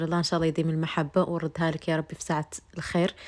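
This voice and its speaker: Very clean and set against a silent background, this recording features a woman. She talks at a fairly quick pace with a fairly low pitch. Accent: Moroccan. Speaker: vlogger. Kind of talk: vlog narration. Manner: halting.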